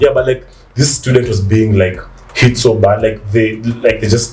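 Noticeable background noise sits behind a man's voice. He speaks at a medium pitch and a moderate pace, with ordinary pitch variation. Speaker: podcast co-host. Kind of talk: casual chat.

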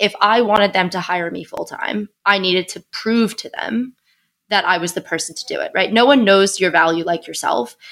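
The speaker is a woman with an unremarkable speaking voice. Her medium pitch shows ordinary pitch variation. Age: 20s. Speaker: venture capital investor. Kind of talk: interview.

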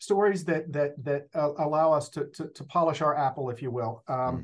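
Somewhat breathy and fairly high in pitch, a man speaks at a moderate pace with a Texan accent. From Northeast Texas. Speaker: school district communications director. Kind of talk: interview. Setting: office.

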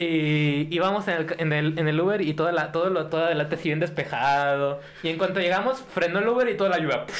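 A man's high voice, very fast with hardly any pauses, very even loudness and ordinary pitch variation, plus audible room echo and noticeable background noise. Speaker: podcast guest. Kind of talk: casual chat. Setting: studio with live audience.

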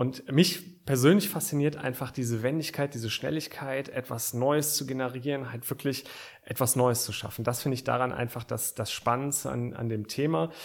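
Speaking at a moderate pace, a man with a plain, everyday voice keeps a medium pitch with ordinary pitch variation. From Aachen, western Germany. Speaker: startup founder. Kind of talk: interview. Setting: studio.

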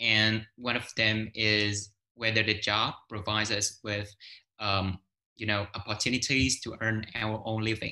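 A man with a fairly low pitch and a bright, sharp tone talks at a moderate pace. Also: quiet background. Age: 20s. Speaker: English teacher and photographer. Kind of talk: casual interview. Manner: halting, many fillers.

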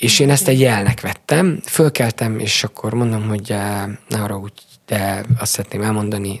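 A man with a normal speaking voice talks at a fairly quick pace, his fairly low pitch kept in fairly even intonation. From Transylvania, Romania (Sepsiszentgyörgy). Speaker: karate coach. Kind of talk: interview.

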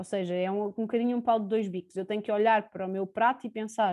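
Someone with a Lisbon accent talks at a fairly quick pace with fairly even intonation against a quiet background. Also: woman. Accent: European Portuguese, Lisbon area. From Portugal, Sintra. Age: 20s. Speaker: preschool teacher. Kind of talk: interview.

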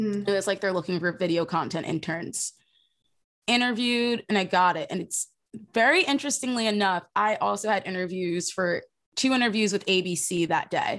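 A woman with an American accent talks at a moderate pace and medium pitch. Hers is a normal speaking voice with ordinary pitch variation. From South Jersey, US. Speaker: social media producer, former intern. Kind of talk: casual interview.

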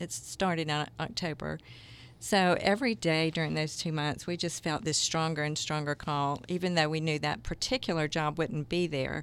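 With a Southern US accent, a woman speaks at a moderate pace in a very deep, low pitch with ordinary pitch variation. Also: very clean recording, silent background. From US South, Jacksonville, Florida. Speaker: microchurch leader. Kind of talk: interview.

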